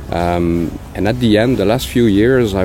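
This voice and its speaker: A man's voice with a Quebec accent and ordinary pitch variation, over noticeable background noise. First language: French. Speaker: pig production consultant. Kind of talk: interview. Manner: halting, many fillers.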